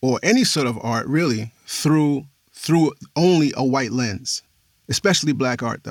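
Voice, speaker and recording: In a normal speaking voice with an American accent, a man talks at a fairly slow pace with lively intonation. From New York City, the Bronx. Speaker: podcast host and audio description narrator. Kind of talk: interview conversation.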